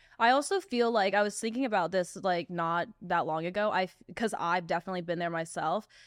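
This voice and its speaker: A woman with a plain, everyday voice and an American accent talks at a fairly quick pace with hardly any pauses, her medium pitch moving with ordinary variation on a very clean recording with a silent background. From US South. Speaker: podcast host. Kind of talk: casual chat.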